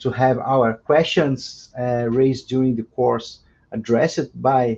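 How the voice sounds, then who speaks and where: Against a quiet background, a man with a Portuguese accent speaks at a fairly slow pace in a medium pitch. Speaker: law professor and translator. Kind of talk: introductory remarks at academic webinar. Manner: halting, many repetitions and fillers.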